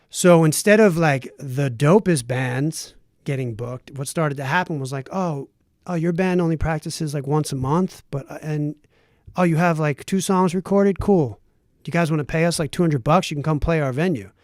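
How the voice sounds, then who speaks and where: A man with an American accent speaks at a moderate pace and a fairly high pitch. His pitch varies in an ordinary way on a very clean recording with a silent background. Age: 40s. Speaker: lead vocalist and author. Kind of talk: casual chat. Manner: animated.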